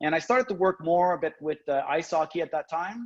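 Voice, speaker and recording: A man with a French-Canadian accent at a moderate pace. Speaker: professor. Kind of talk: lecture. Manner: halting, many fillers.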